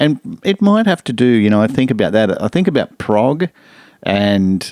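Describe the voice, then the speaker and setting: In an Australian accent, a man speaks with lively intonation and a dark, mellow tone. The sound is dry and close, with no echo. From Brisbane, Australia. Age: 60s. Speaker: music lecturer and producer. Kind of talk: casual interview. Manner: hesitant, many fillers.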